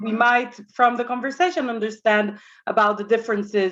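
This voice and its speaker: A woman with an Israeli accent against a quiet background. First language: Hebrew. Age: young. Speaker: communications director and religious movement representative. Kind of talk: presentation. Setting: synagogue event with audience, microphone. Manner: halting, many fillers.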